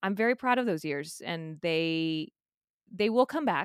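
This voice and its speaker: An American accent comes through on a very clean recording with a silent background and a dry, close sound with no echo. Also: woman. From South Texas. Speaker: musical theater actress. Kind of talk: casual interview chat. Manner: animated.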